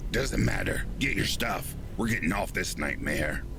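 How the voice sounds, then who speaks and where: A man's put-on character voice at a moderate pace and very even loudness, over loud background noise. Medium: audio drama. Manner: blunt, profane, commanding.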